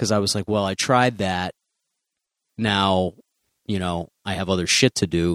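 Speaking at a fairly slow pace with long, frequent pauses, a man with an American accent uses a very deep, low pitch and fairly even intonation. The recording is very clean with a silent background, and the sound is dry and close with no echo. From US Midwest, Chicago. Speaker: stand-up comedian. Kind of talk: casual interview chat.

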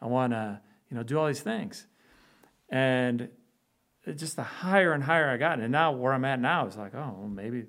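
A man with a Chicago accent and a fairly high voice, at a moderate pace with long, frequent pauses. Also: very clean recording, silent background. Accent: Chicago American. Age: 40s. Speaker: orthopedic spine surgeon. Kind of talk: casual interview.

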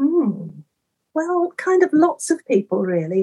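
At a very slow pace, a woman speaks with lively intonation and a somewhat breathy voice, the sound dry and close with no echo. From eastern England, Norfolk. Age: 60s. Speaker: endurance athlete and event chaplain. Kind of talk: casual interview.

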